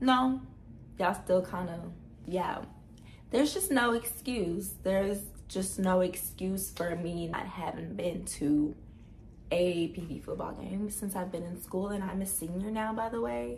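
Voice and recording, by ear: A woman's raspy voice with vocal fry, fairly low in pitch, at a fairly slow pace with ordinary pitch variation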